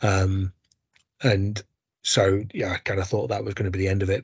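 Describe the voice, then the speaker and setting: A man talks with a fairly low pitch. His voice is somewhat breathy. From Barnsley, South Yorkshire. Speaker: sports medicine doctor. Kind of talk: interview.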